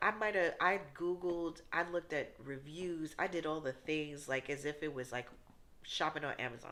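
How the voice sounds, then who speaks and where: A fairly slow woman with an American accent, bright and sharp in tone, fairly low in pitch, with ordinary pitch variation. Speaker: faith vlogger. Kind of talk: testimony. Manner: casual, conversational.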